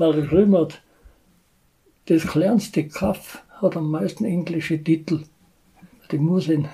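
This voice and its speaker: A man's high-pitched voice with a dark, mellow tone, fairly even intonation, a very slow pace and long, frequent pauses. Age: 80s+. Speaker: retired village band musician. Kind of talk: casual interview.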